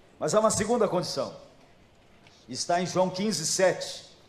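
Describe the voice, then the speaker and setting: A man speaks with audible room echo. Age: 70s. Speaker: pastor. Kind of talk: sermon.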